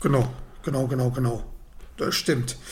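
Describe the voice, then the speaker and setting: A man with a fairly high pitch at a fairly slow pace. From Germany, Ruhr area near Dortmund. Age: 30s. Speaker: football fan pundit. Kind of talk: casual chat.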